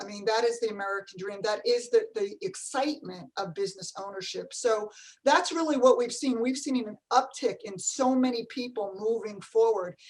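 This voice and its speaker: Delivered with a New Jersey accent, the speech has lively intonation and hardly any pauses. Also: woman, fairly high pitch for a woman, moderate pace, big swings in loudness. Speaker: franchise company CEO. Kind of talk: panel discussion.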